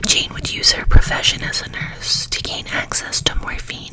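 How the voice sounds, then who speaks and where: Noticeable background noise sits behind a woman whispering fairly slowly. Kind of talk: ASMR true crime talk. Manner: soft-spoken.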